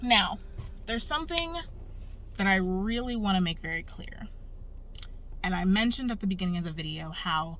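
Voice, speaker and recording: Audible room echo around ordinary pitch variation at a fairly quick pace. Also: woman. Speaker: human design coach. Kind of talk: tutorial. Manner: casual.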